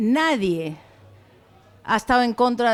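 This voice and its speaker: Lively intonation over music in the background. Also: woman. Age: 60s. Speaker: audience member. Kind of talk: personal testimony.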